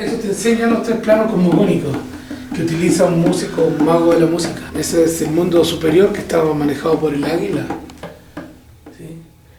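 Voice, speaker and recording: In a recording with noticeable background noise and audible room echo, a man with a high pitch talks at a fairly quick pace with ordinary pitch variation. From northern Chile (Vallenar). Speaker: shaman and musician. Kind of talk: documentary interview.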